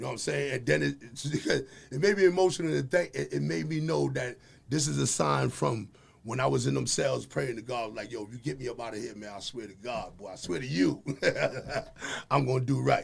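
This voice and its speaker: A man of medium pitch with vocal fry, very wide pitch swings and a fairly quick pace. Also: big swings in loudness. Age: 50s. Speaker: community activist. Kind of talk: casual chat. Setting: live stream. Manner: animated.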